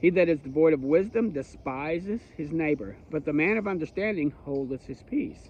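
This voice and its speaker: The intonation here is lively. It is an ordinary speaking voice. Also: man. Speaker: bible teacher. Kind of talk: bible study teaching.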